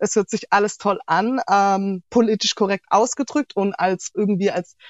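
A woman speaks fairly slowly in an ordinary speaking voice. Her intonation stays fairly even. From Germany, Heilbronn (Baden-Württemberg). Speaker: interview guest. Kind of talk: casual interview.

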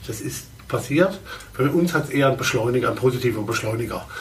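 Through audible room echo and noticeable background noise, a man talks at a fairly quick pace and medium pitch. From Baden, southwestern Germany. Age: 50s. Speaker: fashion industry executive and consultant. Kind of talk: interview. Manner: halting, with many fillers.

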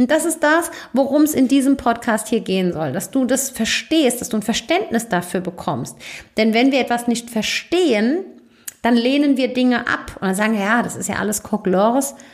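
The woman's high voice carries lively intonation and moves at a moderate pace. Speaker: podcast host and business coach. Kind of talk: solo podcast monologue. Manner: casual, chatty.

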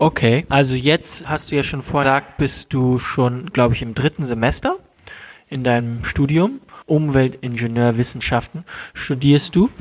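Here a man has an ordinary speaking voice. He talks at a moderate pace with fairly even intonation. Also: medium pitch for a man. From Germany. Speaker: podcast host. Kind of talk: casual interview. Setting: at his parents' home.

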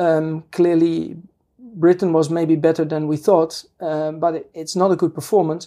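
In a Dutch accent, a woman with a fairly low pitch and a dark, mellow tone speaks at a moderate pace with monotone, flat intonation. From Netherlands. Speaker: political scientist professor. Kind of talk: interview. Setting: studio. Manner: halting.

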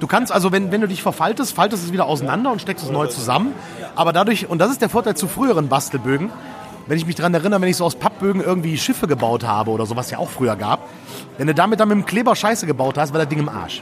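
The speech comes at a very fast pace, with very wide pitch swings. Noticeable background noise runs underneath. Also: man, high pitch for a man. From Düsseldorf area, Germany. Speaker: games journalist and podcast host. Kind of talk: casual chat. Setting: recorded at a press event.

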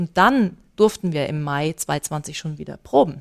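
An ordinary speaking voice at a fairly slow pace, ordinary pitch variation, in a very clean recording with a silent background. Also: woman. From Bavaria, Germany (Starnberg area). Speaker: choir conductor. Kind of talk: interview. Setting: on location at a choir festival.

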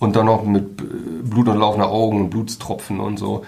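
Audible room echo around a man at medium pitch, speaking fairly quickly. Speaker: newspaper journalist and podcast co-host. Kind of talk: casual chat.

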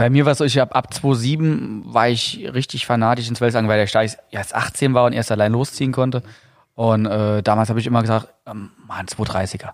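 With a slight Saarland accent, this voice moves at a moderate pace and keeps a fairly even intonation. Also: man, medium pitch for a man. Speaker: podcast host and fishing tackle company owner. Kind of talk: casual chat.

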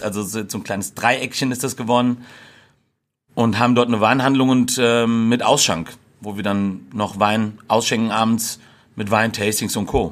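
On a very clean recording with a silent background, a man has an ordinary speaking voice with fairly even intonation. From Hesse, Germany (Gießen). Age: 30s. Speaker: burger restaurant owner. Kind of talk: casual interview chat.

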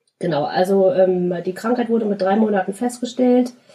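This is a woman speaking at a medium pitch. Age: 30s. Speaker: podcast guest with cystic fibrosis. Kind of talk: interview.

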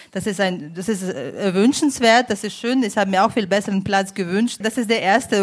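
A woman speaks at a fairly quick pace in a normal speaking voice. Her medium pitch shows ordinary variation. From Ukraine. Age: 30s. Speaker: migration advisory board member, politician. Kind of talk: panel discussion.

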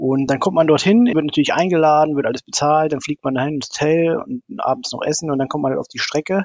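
A man's plain, everyday voice at a fairly high pitch, with lively intonation and a fairly quick pace. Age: 40s. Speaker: amateur racing drone pilot. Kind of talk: interview.

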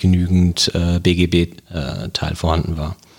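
In a flat monotone, a man speaks with a very deep, low pitch. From Germany, Wiesbaden (Hesse). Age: 30s. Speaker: police officer and local election candidate. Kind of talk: interview. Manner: hesitant, many filler sounds.

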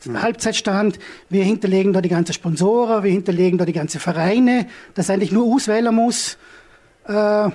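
Ordinary pitch variation runs through speech delivered at a fairly quick pace. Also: man. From Austria, Vorarlberg (Hohenems). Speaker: entrepreneur, startup founder. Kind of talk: business presentation. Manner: halting, many fillers.

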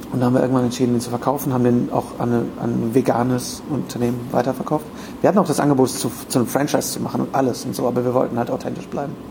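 Very fast talking over noticeable background noise, with fairly even intonation. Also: man. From Germany, rural. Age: 30s. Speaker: podcaster and voice actor. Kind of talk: casual chat. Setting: hotel room.

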